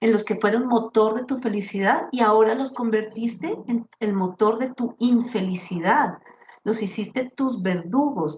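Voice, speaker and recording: A woman with a fairly high pitch and ordinary pitch variation talks at a fairly slow pace. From Colombia, Bogotá. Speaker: grief speaker and author. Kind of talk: interview testimony.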